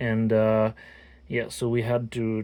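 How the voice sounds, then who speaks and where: Medium-pitched, dark and mellow male voice in a French accent. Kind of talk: casual talk to camera. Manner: hesitant, many fillers.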